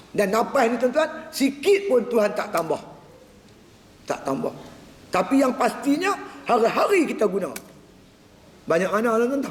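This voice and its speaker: Amid noticeable background noise and audible room echo, a man with an extremely high voice and very wide pitch swings talks at a moderate pace, leaving long, frequent pauses. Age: 60s. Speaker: religious teacher. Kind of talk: religious lecture. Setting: mosque prayer hall.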